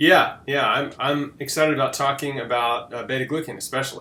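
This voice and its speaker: Fairly high-pitched male speech in a plain, everyday voice, its pitch varying in an ordinary way. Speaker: podcast host. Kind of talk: interview questions.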